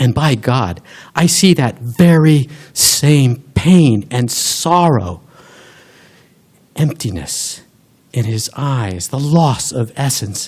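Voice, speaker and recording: A man's somewhat breathy voice at a very slow pace, with long, frequent pauses and lively intonation. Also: medium pitch for a man. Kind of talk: live storytelling performance. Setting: live stage with audience.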